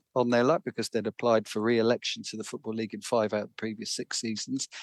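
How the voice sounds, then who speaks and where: The man's medium-pitched voice comes across with a dry, close sound and no echo. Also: quiet background. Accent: London. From London. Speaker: author. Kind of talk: interview. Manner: halting, repeats words.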